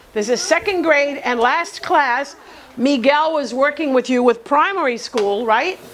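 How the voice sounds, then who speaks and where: Over noticeable background noise, the speaker uses an animated tone at a fairly slow pace. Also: woman. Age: 70s. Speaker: teacher, workshop instructor. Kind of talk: classroom lecture. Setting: classroom with live students.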